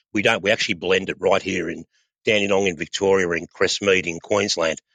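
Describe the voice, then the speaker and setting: Over a quiet background, a man with an Australian accent speaks at a fairly quick pace in a very deep, low voice with a bright, sharp tone and flat, monotone intonation. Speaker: oil company training and sales manager. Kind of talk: podcast interview. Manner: halting, many repetitions.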